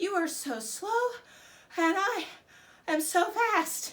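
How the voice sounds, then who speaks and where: In a put-on character voice, a woman speaks very slowly at an extremely high, squeaky pitch. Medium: read story. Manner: cocky.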